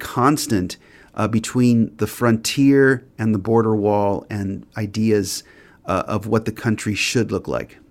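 A man with a Californian accent talks at a fairly slow pace and medium pitch, with ordinary pitch variation. The recording is very clean, with a silent background. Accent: Californian American English. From Los Angeles, US. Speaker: author and professor. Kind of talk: interview.

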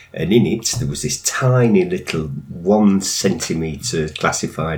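A man speaks with a Lancashire accent. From northern England. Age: 60s. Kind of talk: interview.

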